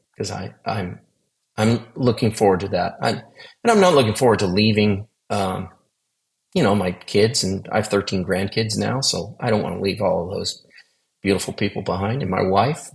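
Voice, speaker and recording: A man talks with fairly even intonation at a fairly low pitch, his voice somewhat breathy. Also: moderate pace. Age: 60s. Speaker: near-death experience survivor. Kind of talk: testimony. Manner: halting, many repeated words.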